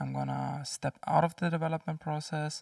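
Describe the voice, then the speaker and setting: Someone soft-spoken talks in a dry, close sound with no echo. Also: man. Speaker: indie game developer and content creator. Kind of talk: casual vlog.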